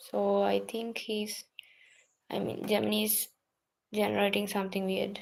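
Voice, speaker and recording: Very slow speech with a non-native accent. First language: not English. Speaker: student livestreamer. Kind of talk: casual study livestream. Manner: halting.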